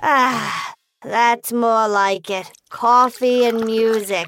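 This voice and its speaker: A female-sounding voice uses a put-on character voice. The pace is very slow. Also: fairly high pitch for a woman. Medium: audio drama. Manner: clipped, officious, unmoved.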